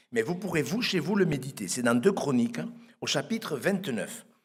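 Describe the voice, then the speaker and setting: A man with a fairly high pitch speaks at a moderate pace, his voice making very wide pitch swings. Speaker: pastor. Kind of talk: sermon. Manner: soft-spoken; halting, repeats words.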